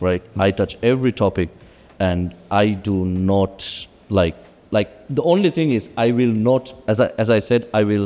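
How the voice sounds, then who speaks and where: Fairly slowly and at very even loudness, a man speaks with a fairly low pitch, a dark, mellow tone and ordinary pitch variation. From Sri Lanka. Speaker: stand-up comedian. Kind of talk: casual chat. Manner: halting, many fillers and repeats; animated.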